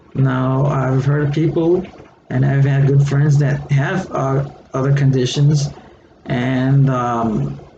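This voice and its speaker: A man at a very slow pace, fairly high in pitch, monotone and flat, with very even loudness, audible room echo and noticeable background noise. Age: 60s. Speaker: retired educator and online seller. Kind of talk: casual vlog monologue. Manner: hesitant, many fillers.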